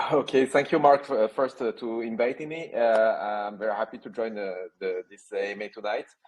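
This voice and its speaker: This man talks fairly quickly with a French accent. His loudness swings a lot. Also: medium pitch for a man, ordinary pitch variation. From France. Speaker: company CEO. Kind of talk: interview. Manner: halting, many fillers.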